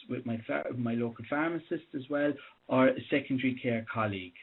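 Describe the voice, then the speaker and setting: Using an Irish accent, a man moves at a moderate pace with ordinary pitch variation. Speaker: doctor. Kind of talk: conference presentation. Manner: halting, many restarts; loud.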